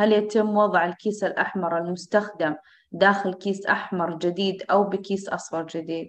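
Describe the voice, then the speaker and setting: Her intonation stays fairly even as this woman speaks. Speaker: course moderator. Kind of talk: moderating an online course. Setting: video call. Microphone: video call.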